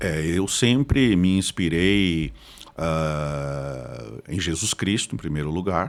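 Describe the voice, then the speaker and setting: This man speaks very slowly with an interior Paraná accent, his very deep, low voice carrying lively intonation. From Paraná, Brazil (Curitiba from age ten). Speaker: pastor and theology professor. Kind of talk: podcast interview.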